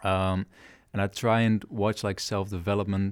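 A man speaks at a fairly slow pace with a fairly low pitch and monotone, flat intonation. The recording is very clean, with a silent background. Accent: Dutch. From southern Netherlands, near Breda. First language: Dutch. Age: 20s. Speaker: guest sharing personal experiences. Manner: hesitant, many fillers.

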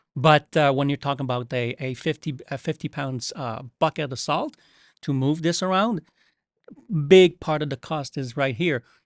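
This man has a fairly high-pitched voice. He speaks with a Quebec accent. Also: ordinary pitch variation, moderate pace, dry, close sound with no echo, quiet background. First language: French. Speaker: coral care company representative. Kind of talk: casual chat. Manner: halting.

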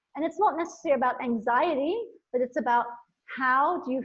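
A woman speaks with a high pitch at a fairly quick pace. Her tone is enthusiastic and her intonation lively. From India and Nepal. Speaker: motivational speaker and women's coach. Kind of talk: casual interview chat; brief guided visualization, eyes-closed imagining of lightness and inner joy. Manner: enthusiastic, flowing speech.

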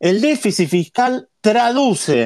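A man's voice swings very widely in pitch on a very clean recording where the background is silent. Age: 50s. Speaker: economist and professor. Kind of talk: interview, economic analysis.

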